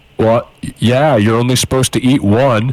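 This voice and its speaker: A man puts on a booming character voice at a medium pitch. He speaks at a moderate pace. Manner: incredulous, rebuking.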